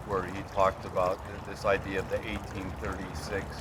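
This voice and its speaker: Over noticeable background noise, a man speaks in a very deep, low pitch at a moderate pace with monotone, flat intonation. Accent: American. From California. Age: 60s. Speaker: historian interviewer. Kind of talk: interview. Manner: halting.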